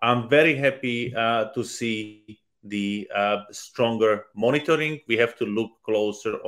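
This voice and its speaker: With a Slovak accent, a man speaks at medium pitch with ordinary pitch variation. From Slovakia. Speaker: politician. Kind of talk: panel discussion. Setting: online video event.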